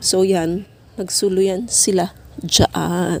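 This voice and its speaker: With monotone, flat intonation, a woman's voice has a dark, mellow tone. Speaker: gardening vlogger. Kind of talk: casual vlog tutorial. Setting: home garden.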